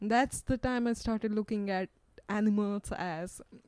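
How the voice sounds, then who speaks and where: Speaking at a fairly slow pace with an Indian accent, a woman uses a medium pitch, a dark, mellow tone and fairly even intonation, recorded with a dry, close sound and no echo. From India, Western Ghats highlands. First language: Kannada. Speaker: PhD researcher. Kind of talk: podcast interview.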